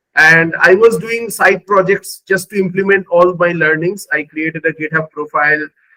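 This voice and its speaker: A man with a Bengali accent talks in a high pitch with a bright, sharp tone and fairly even intonation. He keeps a moderate pace with hardly any pauses, in a dry, close sound with no echo. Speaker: AI engineer, former recruiter. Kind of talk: interview testimony. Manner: halting, many fillers.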